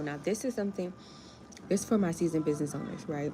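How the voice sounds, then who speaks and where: With an American accent, a woman talks at a very fast pace and a fairly low pitch, her tone animated and her intonation lively. Noticeable background noise can be heard. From US, Miami. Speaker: grant writer and small business coach. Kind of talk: livestream chat. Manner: casual, animated.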